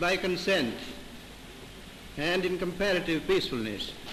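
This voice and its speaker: This man talks with a high pitch while noticeable background noise fills the clip. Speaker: retiring High Commissioner for India. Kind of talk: formal reception speech, newsreel. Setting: 1947 newsreel recording.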